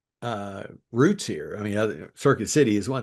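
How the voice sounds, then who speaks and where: In a Kentucky accent, a man speaks with a fairly low pitch. His pitch varies in an ordinary way against a quiet background. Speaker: podcast host. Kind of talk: interview.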